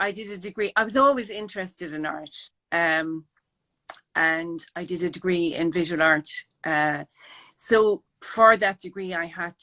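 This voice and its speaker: A woman with an Irish accent speaks at a moderate pace in a bright, sharp tone, her pitch fairly low with ordinary variation, in a very clean recording with a silent background and a dry, close sound with no echo. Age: 60s. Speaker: artist and project founder. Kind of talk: interview.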